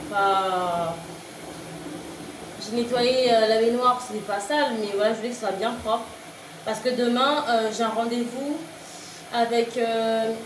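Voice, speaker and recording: A woman's fairly high voice at a very slow pace with fairly even intonation and long, frequent pauses, amid audible room echo and noticeable background noise. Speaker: vlogger and mother. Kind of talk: casual vlog monologue. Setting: at home. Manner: halting, many fillers; loud.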